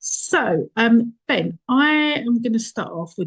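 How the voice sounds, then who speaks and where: A somewhat breathy woman with a strong Essex accent, in dry, close sound with no echo. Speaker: marketing agency founder, workshop host. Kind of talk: online workshop interview.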